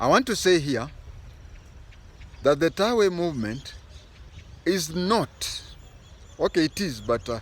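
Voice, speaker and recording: A man with a Kenyan accent, high in pitch with very wide pitch swings, at a fairly slow pace with long, frequent pauses. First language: Bukusu. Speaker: political commentator, former intelligence officer. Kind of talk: political commentary.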